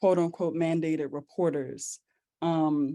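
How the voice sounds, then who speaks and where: In a very clean recording with a silent background, a woman with a very deep, low pitch and a dark, mellow tone speaks at a very slow pace. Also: dry, close sound with no echo. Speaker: healing practitioner panelist. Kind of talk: panel discussion.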